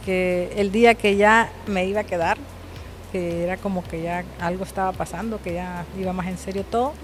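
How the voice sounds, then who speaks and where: A woman speaks at a moderate pace and medium pitch with fairly even intonation. Music plays in the background. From Honduras. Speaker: businesswoman and communications professional. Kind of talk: interview.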